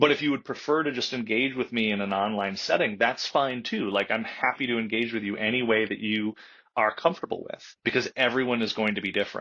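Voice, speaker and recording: Against a quiet background, a man speaks at a fairly quick pace in a bright, sharp tone. His pitch is medium, with ordinary pitch variation. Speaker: comic book writer. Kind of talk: interview. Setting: podcast interview. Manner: loud.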